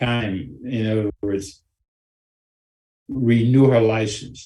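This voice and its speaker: A man's medium-pitched voice comes across somewhat breathy, with ordinary pitch variation. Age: 80s+. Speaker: anger management instructor. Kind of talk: storytelling talk to a group.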